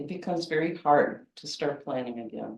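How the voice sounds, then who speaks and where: This woman's pitch is very deep and low, and her words come at a fairly slow pace. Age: 60s. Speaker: poet. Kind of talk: poetry reading; casual talk.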